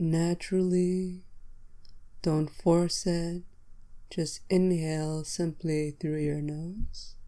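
A woman speaks at a very slow pace in a dark, mellow, fairly low-pitched voice. Her intonation is monotone and flat. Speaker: meditation guide and podcast host. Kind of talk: guided meditation. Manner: slow, calm and soothing, with pauses between cues; gentle, instructional and directive.

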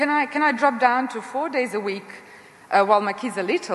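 There is noticeable background noise behind a woman speaking at a fairly quick pace. Her voice is high-pitched. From Serbia. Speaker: astrophysicist, panel moderator. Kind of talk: panel discussion.

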